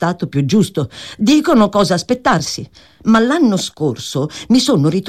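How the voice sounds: Reading voice, natural in tone.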